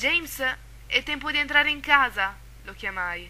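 A woman speaks at a moderate pace. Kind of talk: horror story reading.

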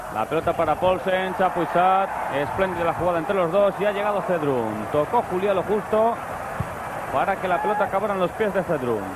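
An excited man with a Spanish accent, ordinary pitch variation and very even loudness, his voice dry with no echo despite loud background noise. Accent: Peninsular Spanish. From Spain. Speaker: football commentator. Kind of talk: live sports commentary. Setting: stadium broadcast. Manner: rapid-fire, clipped play-by-play, breathless; excited at goals, otherwise steady.

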